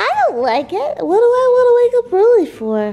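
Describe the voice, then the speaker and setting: This put-on character voice is pitched extremely high and moves at a moderate pace. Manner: funny, grumpy.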